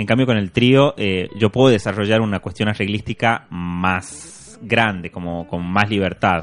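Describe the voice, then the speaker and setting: A man with an unremarkable speaking voice talks at a fairly slow pace with hardly any pauses. His pitch is fairly low, with ordinary pitch variation. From Argentina, Tucumán (Simoca). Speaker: musician and producer. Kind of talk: interview conversation.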